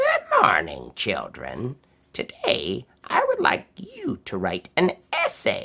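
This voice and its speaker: A put-on character voice at a very slow pace. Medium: read story. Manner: warm, measured.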